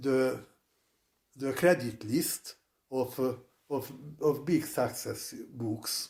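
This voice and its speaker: The man's voice is fairly high-pitched with a dark, mellow tone. He speaks in a Hungarian accent. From Hungary. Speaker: psychologist and author. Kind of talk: interview. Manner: halting.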